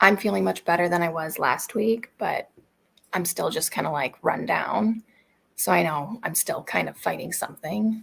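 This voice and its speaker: Putting on a character voice, a woman speaks quietly and raspily at a fairly low pitch and a moderate pace. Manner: talking quietly, low-key.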